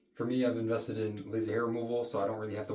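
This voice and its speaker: A man with a medium-pitched voice talks while noticeable noise is heard behind him. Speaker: health coach, skincare video creator. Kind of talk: tutorial. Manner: casual, conversational.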